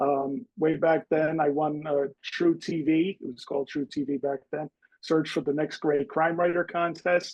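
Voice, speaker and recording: At a fairly slow pace, a man with a fairly high pitch talks in an ordinary speaking voice with fairly even intonation. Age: 50s. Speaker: author. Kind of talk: interview.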